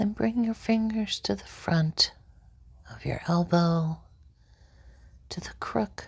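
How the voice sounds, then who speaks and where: At a very slow pace, the speaker is soft-spoken with a calm tone. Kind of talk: ASMR relaxation guide, guided fingertip-trailing session. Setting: ASMR session for sleep and relaxation. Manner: soft-spoken, slow, calm.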